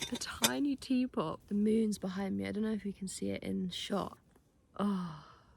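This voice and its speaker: A woman talks with a British accent. Her pace is moderate. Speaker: vlogger. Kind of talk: vlog. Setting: outdoors. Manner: soft-spoken.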